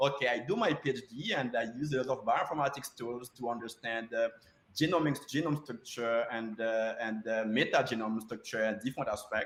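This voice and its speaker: Using ordinary pitch variation at medium pitch, a man with a non-native accent speaks at a fairly quick pace. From Haiti. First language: Haitian Creole or French. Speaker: postdoctoral researcher. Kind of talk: conference talk. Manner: halting, many fillers.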